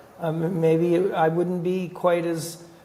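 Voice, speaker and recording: A man with a Canadian accent amid noticeable background noise and audible room echo. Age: 60s. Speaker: hockey general manager. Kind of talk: interview.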